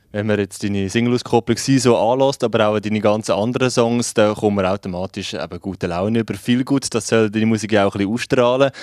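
A man speaks very fast with a Swiss accent, his pitch fairly low and his intonation fairly even, with hardly any pauses. The background is quiet and the sound is dry with no echo. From Switzerland. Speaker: radio host. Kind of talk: radio interview. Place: studio. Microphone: handheld.

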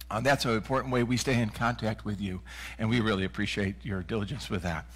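A man talks at a very fast pace with vocal fry. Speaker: minister leading worship. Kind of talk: service welcome and announcements. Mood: warm, welcoming. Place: church.

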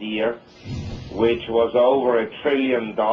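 A man speaks against light background noise. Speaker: market commentator guest. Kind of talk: interview answer. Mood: calm, measured analysis. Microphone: phone line.

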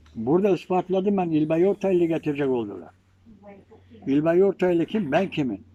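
The recording has a dry, close sound with no echo. A man with a high voice speaks at a moderate pace with lively intonation. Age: 80s+. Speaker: amateur historian, village ethnography collector. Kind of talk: informal talk to visitors.

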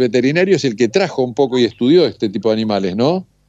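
A man speaks at a fairly quick pace with a Rioplatense accent and lively intonation. The sound is dry with no echo, over a quiet background. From Bolívar, Buenos Aires province, Argentina. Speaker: radio host. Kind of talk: interview. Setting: phone call. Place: studio.

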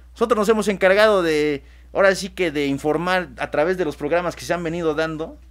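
A man at a fairly quick pace. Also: very clean recording, silent background. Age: 20s. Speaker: radio host, AA member, law graduate. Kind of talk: casual talk show discussion. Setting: studio. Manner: halting, repeats words.

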